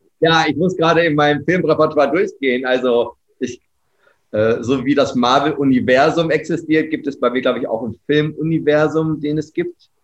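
Speaking with a fairly high pitch and an unremarkable speaking voice, a man keeps a moderate pace. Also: fairly even intonation. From Germany, Ostwestfalen-Lippe (Herford). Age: 30s. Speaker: business coach and trainer. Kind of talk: podcast interview.

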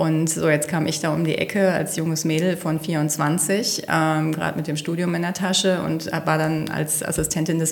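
Over noticeable background noise and audible room echo, a woman speaks at a very deep, low pitch with monotone, flat intonation. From Rhineland, Velbert near the Ruhr. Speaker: engineer and executive. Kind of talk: interview.

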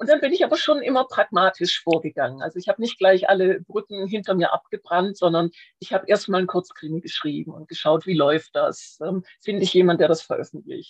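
A woman with an ordinary speaking voice talks at a fairly quick pace and medium pitch, her intonation lively and her loudness swinging widely, in a dry, close sound with no echo. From Swabia, Schwäbisch Hall. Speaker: crime novelist. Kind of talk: casual interview.

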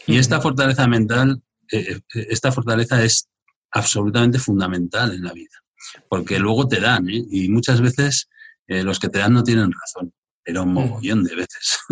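A man talks at a moderate pace in a medium pitch, somewhat breathy. The sound is dry and close, with no echo. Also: ordinary pitch variation. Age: 50s. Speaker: entrepreneur. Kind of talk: live interview in front of audience. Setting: live event with young audience.

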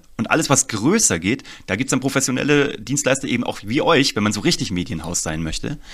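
A man with vocal fry speaks at a fairly quick pace and medium pitch, his voice making very wide pitch swings. The recording is very clean, with a silent background. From Germany, Kassel (northern Hesse). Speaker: storytelling and marketing consultant. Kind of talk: interview.

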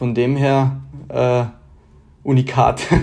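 A man's medium-pitched voice, dark and mellow in tone, with monotone, flat intonation. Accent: Bavarian. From Bavaria, Germany. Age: 20s. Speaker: competitive archer and engineering student. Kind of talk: interview. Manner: hesitant, many filler sounds.

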